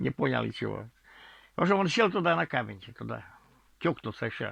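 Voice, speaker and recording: Heard in a dry, close sound with no echo, a man uses vocal fry and very wide pitch swings at a moderate pace. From Komi Republic, Russia. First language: Komi (speaking Russian). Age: 70s. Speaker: author and storyteller. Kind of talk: storytelling. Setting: at home in the bedroom. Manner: halting, with repetitions and false starts.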